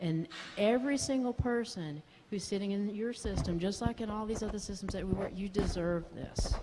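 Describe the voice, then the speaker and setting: There's audible room echo and noticeable background noise. A woman speaks at a medium pitch and moderate pace with ordinary pitch variation. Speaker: psychiatrist. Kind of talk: conference talk. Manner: animated.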